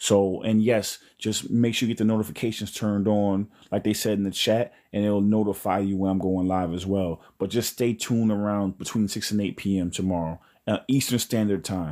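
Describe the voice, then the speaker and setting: At a moderate pace, a man with a New York accent speaks in a fairly low pitch, his dark, mellow tone set in monotone, flat intonation. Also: very clean recording, silent background. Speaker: spiritual livestream host. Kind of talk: live stream chat. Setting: live stream.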